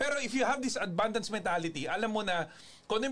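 Over noticeable background noise, a man with a high pitch talks at a very fast pace with lively intonation. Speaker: network marketing show host. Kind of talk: casual talk.

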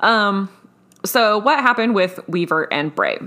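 A woman's voice at a moderate pace, with lively intonation. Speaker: podcast host. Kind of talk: casual chat. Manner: animated, jokey.

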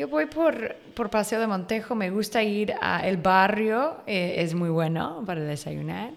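A woman's medium-pitched voice in an English accent, lively in intonation, at a very slow pace with hardly any pauses. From Northern California, US. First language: English (speaking Spanish). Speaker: online magazine writer. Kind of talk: casual interview.

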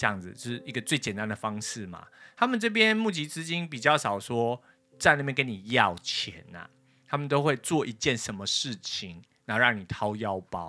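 A man with a Taiwanese accent speaks at a moderate pace and medium pitch, with lively intonation and big swings in loudness. His tone is bright and sharp, and the recording is very clean with a silent background. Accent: Taiwanese Mandarin. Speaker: podcast host. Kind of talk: casual chat. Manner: hesitant with many fillers.

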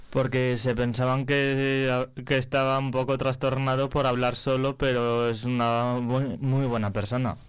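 Noticeable background noise sits behind a man speaking at a medium pitch and a fairly slow pace. His delivery is monotone and flat, with very even loudness. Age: young. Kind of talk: radio interview.

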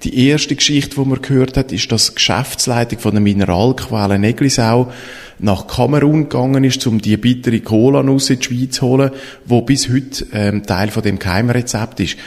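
A normal speaking voice from a man at medium pitch, moderate pace, fairly even intonation and very even loudness. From Switzerland, Eglisau (canton of Zurich). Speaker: podcast host, storytelling consultant. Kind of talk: interview.

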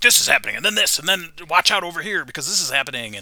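Putting on a gruff, high-pitched character voice, a man talks at a very fast pace over light background noise. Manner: hyped, rapid, trying to fire up a crowd.

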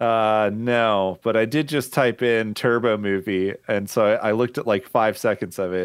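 Against a quiet background, a man with an unremarkable speaking voice talks at a moderate pace with hardly any pauses, fairly low in pitch and fairly even in intonation. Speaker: podcast guest. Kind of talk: casual comedic chat.

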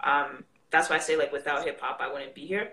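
A woman speaks at a moderate pace. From Canada. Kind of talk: casual live chat. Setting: video call live session.

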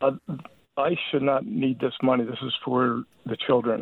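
The man's voice sits at medium pitch with fairly even intonation. He speaks at a moderate pace. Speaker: caller. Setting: phone call.

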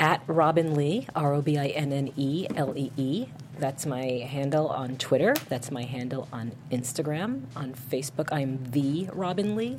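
At a fairly slow pace, a woman with a very deep, low pitch and ordinary pitch variation speaks over noticeable background noise. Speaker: film actress. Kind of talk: casual chat. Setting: studio.

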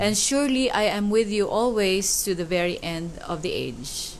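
A woman speaks at medium pitch with a Filipino accent. Her intonation is lively and her pace fairly slow. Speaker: co-host. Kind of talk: casual church discussion.

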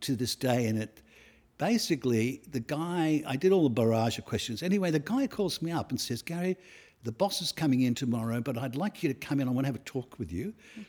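Lively in intonation, a man with an Australian accent and a fairly high pitch talks at a fairly quick pace in a very clean recording with a silent background. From Australia, Sydney. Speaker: portrait photographer. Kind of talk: interview. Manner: halting.

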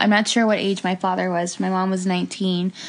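In an American accent, a woman talks as noticeable background noise carries on. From Hialeah, Miami, Florida. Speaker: podcast co-host, product manager in tech. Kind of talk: casual chat.

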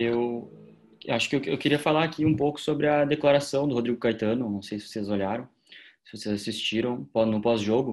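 Quick-paced speech comes from a normal speaking voice. The pitch varies in an ordinary way. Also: man. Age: 20s. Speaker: football podcast co-host, journalism student. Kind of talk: casual chat.

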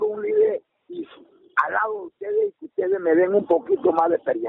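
This man speaks at a fairly slow pace. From Colombian Caribbean coast (Magdalena). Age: 60s. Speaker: farmer and community leader. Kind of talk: personal interview testimony. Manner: halting, repetitive.

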